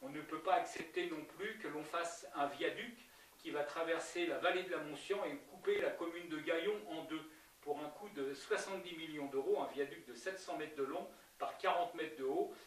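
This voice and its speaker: Over noticeable background noise and audible room echo, a man with a high pitch speaks at a moderate pace with ordinary pitch variation. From France, Yvelines (Verneuil area). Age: 70s. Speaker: local election candidate. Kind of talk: political interview. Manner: halting, many hesitations and repetitions.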